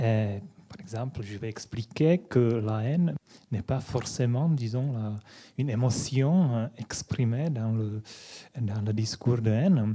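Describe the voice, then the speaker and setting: A man's very slow, somewhat breathy delivery, dark and mellow in tone, with ordinary pitch variation and big swings in loudness. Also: medium pitch for a man. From Czech Republic (Prague). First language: Czech (speaking French). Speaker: philosophy lecturer. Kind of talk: lecture. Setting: conference hall with audience. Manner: halting, many hesitations.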